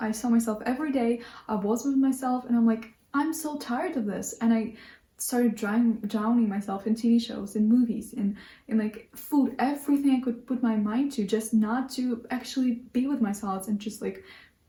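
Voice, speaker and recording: This speaker has a non-native accent and fairly even intonation. The pace is moderate. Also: woman, fairly high pitch for a woman. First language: not English. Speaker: lifestyle vlogger. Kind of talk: casual monologue to camera. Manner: halting, many restarts.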